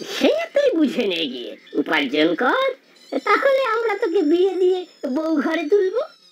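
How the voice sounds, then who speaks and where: A woman does a cartoonish character voice. She speaks at a moderate pace. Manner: sarcastic, sneering.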